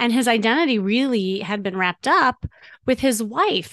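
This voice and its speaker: A woman's fairly high pitch, an ordinary speaking voice, an American accent and a moderate pace. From US Midwest. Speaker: podcast host and dating coach. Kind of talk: casual interview.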